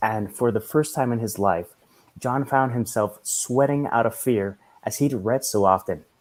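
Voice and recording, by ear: Natural read-aloud speech with ordinary variation in pitch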